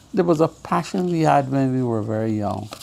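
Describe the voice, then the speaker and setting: Noticeable background noise sits behind a man speaking at medium pitch with ordinary pitch variation. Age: 80s+. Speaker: former cricket administrator. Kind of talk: interview.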